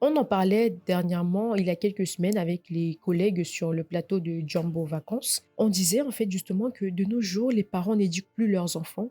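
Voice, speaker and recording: Speech with hardly any pauses and ordinary pitch variation sits over music in the background, in a dry, close sound with no echo. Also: woman, medium pitch for a woman, moderate pace. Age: 20s. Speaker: podcast host. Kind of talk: casual chat.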